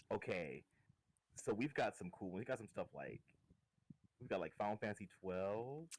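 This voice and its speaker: Soft-spoken, a man talks at a moderate pace with lively intonation and long, frequent pauses. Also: fairly low pitch for a man. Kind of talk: casual chat. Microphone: too quiet.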